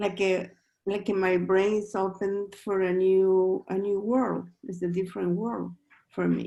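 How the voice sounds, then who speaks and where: A woman's dark, mellow voice with a non-native accent, monotone and flat, at a fairly slow pace. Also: medium pitch for a woman. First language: not English. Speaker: book club participant. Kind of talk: closing thanks in online group session. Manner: halting.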